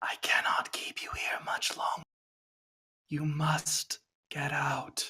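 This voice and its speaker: Using a raspy, put-on character voice, a man speaks at a fairly slow pace with long, frequent pauses. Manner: urgent, ominous.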